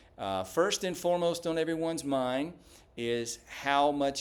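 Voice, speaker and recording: Fairly slow speech from a man with a Southern US accent, fairly high pitch and lively intonation. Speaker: small business owner, bookkeeper. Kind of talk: business introduction video. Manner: many filler words (uh).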